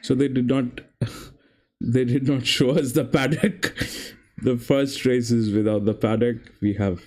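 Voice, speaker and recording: Long, frequent pauses break up a man's speech, delivered with a non-native accent at a fairly slow pace and very even loudness. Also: medium pitch for a man, ordinary pitch variation. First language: not English. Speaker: horse racing tipster streamer. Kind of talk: live stream commentary and chat. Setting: live stream.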